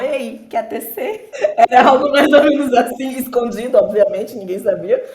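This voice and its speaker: A woman speaks at a moderate pace. Noticeable background noise sits behind her voice. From Brazil, interior of Bahia (Alagoinhas). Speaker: software developer and podcaster. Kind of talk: casual podcast chat.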